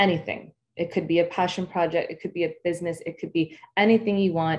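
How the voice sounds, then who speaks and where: A woman with a plain, everyday voice speaks at a moderate pace in a fairly low pitch. Her intonation is fairly even, and the background is quiet. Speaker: marketing speaker. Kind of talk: guided breathing meditation; webinar presentation. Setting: online summit session. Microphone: webcam.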